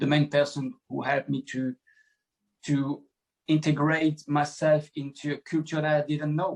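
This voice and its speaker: This man talks at a moderate pace in a fairly high pitch, his intonation monotone and flat. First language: French. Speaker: former footballer. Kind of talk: podcast interview. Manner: halting.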